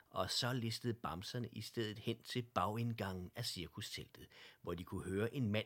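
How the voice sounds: The text is read in a natural reading voice. Nothing else stands out.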